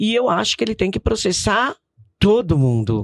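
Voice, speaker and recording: At a fairly slow pace, a woman with a medium-pitched voice makes very wide pitch swings, recorded with a dry, close sound and no echo. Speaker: businesswoman. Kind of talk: podcast interview. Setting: studio.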